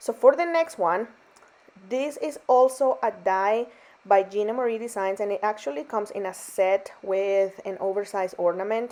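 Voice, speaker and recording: A woman with a non-native accent speaks in a fairly high pitch at a moderate pace, her intonation lively. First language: not English. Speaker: card-making crafter. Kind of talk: craft tutorial voiceover. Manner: casual, chatty with fillers.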